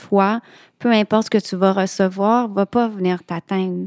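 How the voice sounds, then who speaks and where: A woman with a Quebec accent speaks at a medium pitch and a fairly slow pace, in a flat monotone. The recording is very clean, dry and close, with a silent background and no echo. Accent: Québécois French. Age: 40s. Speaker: childfree woman sharing her story. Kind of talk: podcast interview.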